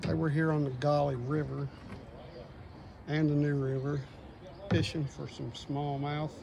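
Over noticeable background noise, a man speaks at a moderate pace. His intonation is monotone and flat. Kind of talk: casual vlog chat. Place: waterside.

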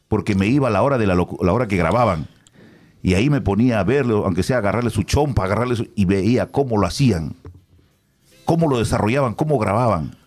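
Over faint background music, a man talks at a fairly quick pace in a fairly low pitch with lively intonation. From Peru. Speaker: radio announcer. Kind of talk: casual chat. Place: studio. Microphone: studio mic.

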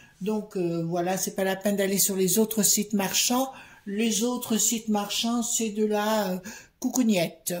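Somewhat breathy and with fairly even intonation, a woman speaks in a room with audible echo. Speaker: card reader. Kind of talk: casual vlog commentary. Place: home room. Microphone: phone near.

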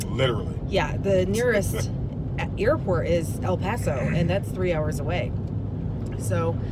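A woman at a fairly slow pace, in a dry sound with no echo, over loud background noise. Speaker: travel vlogger. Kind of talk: casual vlog chat. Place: car. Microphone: phone near.

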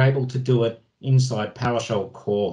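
An Australian-accented man with a somewhat breathy, dark, mellow tone, moderate pace and ordinary pitch variation over a quiet background. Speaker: IT automation expert presenting at user group; presenter. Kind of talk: technical presentation with screen demo. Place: home room. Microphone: video call.

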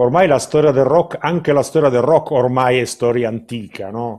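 A man speaking at a fairly quick pace with ordinary pitch variation, quiet background behind him. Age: 50s. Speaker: artist manager interviewer. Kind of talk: interview. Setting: video call from home. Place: home room. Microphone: webcam.

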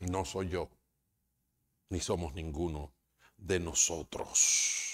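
Over a quiet background, a somewhat breathy voice speaks at a very slow pace with monotone, flat intonation and long, frequent pauses. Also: man, very deep, low pitch for a man. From Dominican Republic. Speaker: pastor. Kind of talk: sermon. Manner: halting. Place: church. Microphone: lapel.

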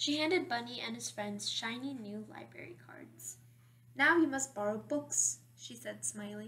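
Just plain reading aloud

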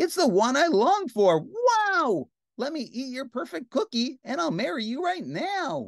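At a fairly slow pace, a woman puts on a character voice with a high pitch and big pitch swings, recorded with a dry, close sound and no echo.

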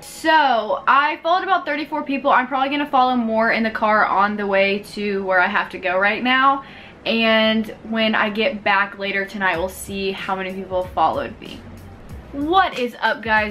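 Against light background noise, a woman talks at a moderate pace with lively intonation. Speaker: vlogger. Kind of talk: casual vlog chat. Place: home room. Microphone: camera far.

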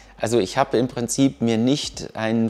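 Faint music plays in the background. Over it, a man speaks at a moderate pace with fairly even intonation. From Düsseldorf, Germany; Germany. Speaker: engineer, university alumnus. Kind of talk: interview. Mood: relaxed, friendly. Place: workshop.

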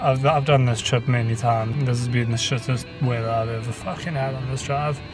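With a South African accent, a man speaks at a fairly quick pace with fairly even intonation while clear music plays in the background. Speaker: vlogger. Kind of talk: casual vlog talk to camera. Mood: joking, irreverent, swearing. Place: car. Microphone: phone near.

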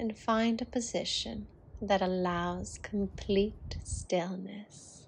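Against a quiet background, a woman speaks very slowly in a calm, somewhat breathy tone, with fairly even intonation. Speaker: yoga teacher. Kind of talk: guided relaxation. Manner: slow, calm.

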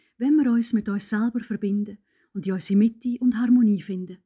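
With a Swiss accent, a woman speaks in a fairly high, somewhat breathy voice with fairly even intonation and a dry, close sound with no echo. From Switzerland. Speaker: meditation guide. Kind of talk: guided meditation.

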